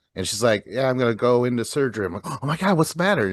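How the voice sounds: A man is speaking at a medium pitch. He talks at a fast pace.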